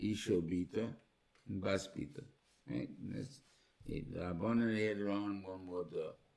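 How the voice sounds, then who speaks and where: With an American accent and a dark, mellow tone, a man speaks at a moderate pace amid audible room echo. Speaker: rabbi teaching a Torah class. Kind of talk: lecture. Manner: halting, many repeated words.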